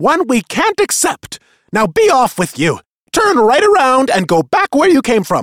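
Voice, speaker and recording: Putting on a character voice, a man growls in an extremely high pitch with very wide pitch swings. His voice is raised and projected, and the pace is moderate. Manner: snarling, harsh.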